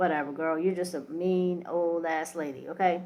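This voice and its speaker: An unremarkable speaking voice from a woman at medium pitch and moderate pace. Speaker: reality TV commentary podcaster. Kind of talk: casual commentary monologue.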